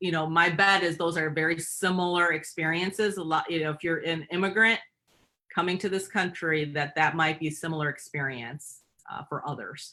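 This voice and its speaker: In a Michigan accent, a woman speaks at a fairly low pitch and a moderate pace with fairly even intonation. Her tone is bright and sharp, in a very clean recording with a silent background. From Michigan, US. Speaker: company president and CEO. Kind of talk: interview. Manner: halting, many fillers.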